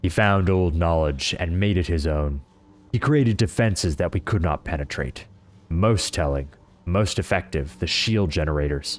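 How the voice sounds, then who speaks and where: Using a put-on character voice, a man speaks very deep and low at a moderate pace, his loudness very even throughout. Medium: game stream. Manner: bleak, grim.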